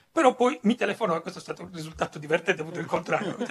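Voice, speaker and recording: A man's very fast speech, lively in intonation, carries over noticeable background noise. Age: old. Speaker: comics writer. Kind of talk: panel talk. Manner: halting.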